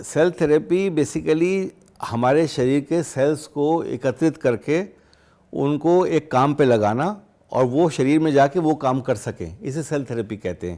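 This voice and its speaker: Lively intonation from a man with a fairly high pitch and a dark, mellow tone. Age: 60s. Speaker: doctor. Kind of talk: interview.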